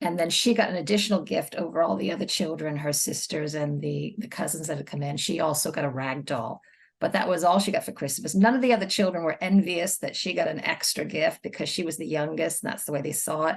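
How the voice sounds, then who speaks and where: A woman with an American accent talks very fast with hardly any pauses, her fairly low voice carrying vocal fry and lively intonation. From United States. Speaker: children's book author. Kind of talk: casual chat.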